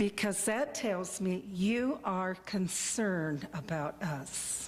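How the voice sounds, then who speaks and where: A woman talks at a very slow pace in a medium pitch. Room echo is audible. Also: lively intonation. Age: 70s. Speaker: member of the public addressing council. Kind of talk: public comment. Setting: city council meeting.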